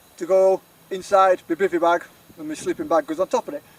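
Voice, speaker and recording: A man with a Yorkshire accent talks fairly quickly at a high pitch with lively intonation. The sound is dry and close with no echo, though background noise is noticeable. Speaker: outdoor adventure vlogger. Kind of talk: casual vlog narration. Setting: outdoors. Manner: rambling, chatty.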